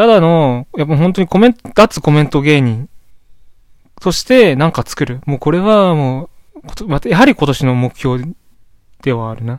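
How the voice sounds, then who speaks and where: Heard in a dry, close sound with no echo, a man with a fairly high pitch and lively intonation talks at a moderate pace, leaving long, frequent pauses. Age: 20s. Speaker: solo podcaster. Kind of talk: casual monologue. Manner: rambling, hesitant.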